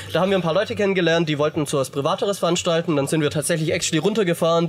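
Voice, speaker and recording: A man's high-pitched voice at a very fast pace, fairly even in intonation, over noticeable background noise. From Baden-Württemberg, southwest Germany. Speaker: metal musician. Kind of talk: casual chat. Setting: outdoors at a festival campground.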